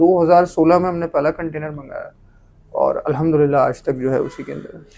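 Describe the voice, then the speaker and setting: Here a man speaks at a moderate pace. His loudness swings widely. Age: 20s. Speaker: motorbike importer, businessman. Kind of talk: interview.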